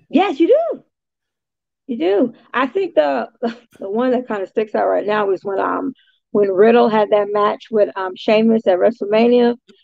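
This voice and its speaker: Using an unremarkable speaking voice, a woman talks at a moderate pace with a fairly high pitch and lively intonation. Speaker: ring announcer and interviewer. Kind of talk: interview answer. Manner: casual, conversational.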